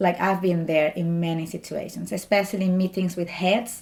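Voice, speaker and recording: A woman speaks at a medium pitch with a dark, mellow tone and a strong Spanish accent. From Spain. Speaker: doctoral student, scientist. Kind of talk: interview.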